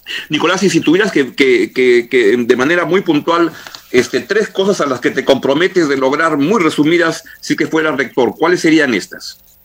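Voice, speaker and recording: A man with a fairly high pitch and ordinary pitch variation talks at a moderate pace amid clear background noise. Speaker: radio host. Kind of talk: radio interview. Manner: halting, repeats words.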